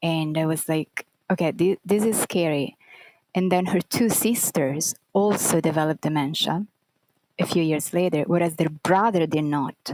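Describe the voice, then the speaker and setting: A woman with a fairly low pitch talks at a moderate pace, her loudness very even and her intonation fairly even. The sound is dry and close with no echo, and music plays in the background. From Italy (Florence), schooled in France. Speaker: neuroscientist. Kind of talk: interview. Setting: podcast.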